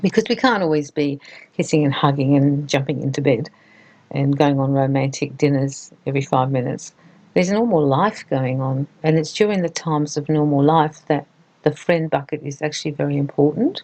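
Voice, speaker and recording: A woman with an Australian accent, a very deep, low pitch, a dark, mellow tone, ordinary pitch variation and a fairly quick pace. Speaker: relationship advice presenter. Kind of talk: advice talk to camera.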